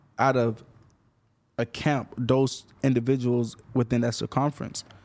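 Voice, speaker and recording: A man's medium-pitched voice with an American accent at a fairly slow pace, on a very clean recording with a silent background. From Florida. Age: 30s. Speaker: music manager and rapper. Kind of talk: casual interview.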